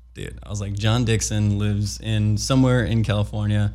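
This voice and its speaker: With an American accent, a man speaks at a moderate pace amid audible room echo. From US Midwest, Chicago. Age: 30s. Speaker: skateboard filmer. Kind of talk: casual interview.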